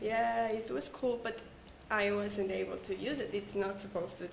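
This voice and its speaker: With audible room echo and noticeable background noise, a woman speaks at a medium pitch and a moderate pace. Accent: Mexican. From Mexico. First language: Spanish. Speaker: English learner, former call center agent. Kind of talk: casual chat, English practice conversation. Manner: halting.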